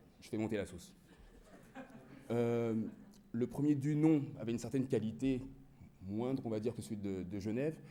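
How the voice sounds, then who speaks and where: Lively intonation at a moderate pace, with long, frequent pauses, big swings in loudness and audible room echo. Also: man, medium pitch for a man. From France. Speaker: digital marketing manager. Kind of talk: conference presentation.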